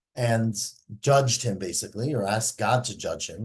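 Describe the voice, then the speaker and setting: This is a man whose voice is somewhat breathy. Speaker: Talmud teacher. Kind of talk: lecture.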